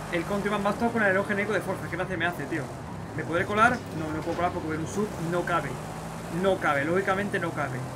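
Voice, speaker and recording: A man talks at a very fast pace with long, frequent pauses. Loud background noise is present. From Spain. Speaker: gaming YouTuber. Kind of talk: gameplay commentary. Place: home room.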